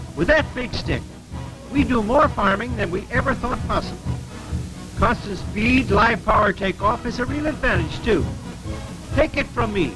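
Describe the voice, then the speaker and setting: Over background music, a high-pitched man speaks with lively intonation and long, frequent pauses. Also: moderate pace. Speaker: radio farm program host. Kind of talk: radio commercial read. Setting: radio broadcast.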